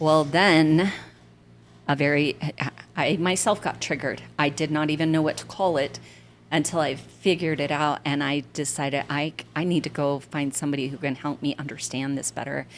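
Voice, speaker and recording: Vocal fry in an American accent at a moderate pace. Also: woman, fairly even intonation, very clean recording, silent background. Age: 60s. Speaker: senior events coordinator. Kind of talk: casual chat.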